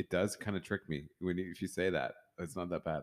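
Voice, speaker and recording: In a very clean recording with a silent background, a man with a very deep, low voice talks at a fairly quick pace. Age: 40s. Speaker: podcast host. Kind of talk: casual chat. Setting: home studio.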